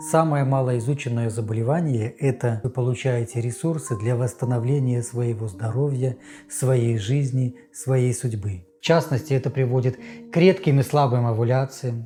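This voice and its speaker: With music in the background, a man speaks in a calm tone at a medium pitch. His pace is moderate and his pitch varies in an ordinary way. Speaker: psychotherapist and health channel host. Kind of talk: health talk to camera. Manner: soothing, relaxing.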